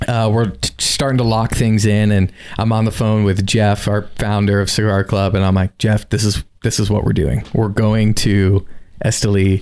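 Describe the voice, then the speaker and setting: Very even in loudness, a man speaks with a fairly low pitch in an American accent. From South Florida. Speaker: cigar company representative and coffee hobbyist. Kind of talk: casual interview conversation. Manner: animated storytelling.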